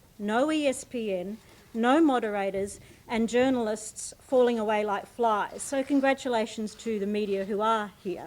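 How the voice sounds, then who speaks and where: A woman's fairly high voice in an Australian accent, with ordinary pitch variation. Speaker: debate chair. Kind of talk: formal speech.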